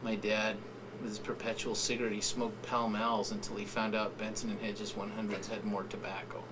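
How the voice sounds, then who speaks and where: Amid noticeable background noise and audible room echo, a man talks with an American accent. His pace is fairly quick and his intonation fairly even. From US-Mexico border, San Diego. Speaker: writer and professor. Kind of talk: interview storytelling.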